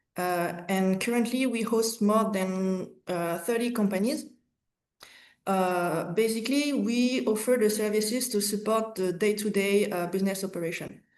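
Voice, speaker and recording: Someone with a French accent speaks at a moderate pace with ordinary pitch variation, with audible room echo. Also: woman, medium pitch for a woman. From France / Cambodia. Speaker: market access manager. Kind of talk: business webinar presentation. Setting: online webinar.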